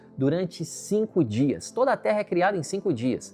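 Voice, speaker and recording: With music in the background, a man with a high voice talks at a moderate pace, his pitch swinging very widely. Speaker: pastor. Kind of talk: sermon.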